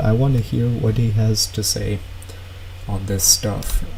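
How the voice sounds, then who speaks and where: A man at a fairly slow pace, fairly even in intonation, against noticeable background noise. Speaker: streamer reacting to videos. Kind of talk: casual live stream chat. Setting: live stream. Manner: loud.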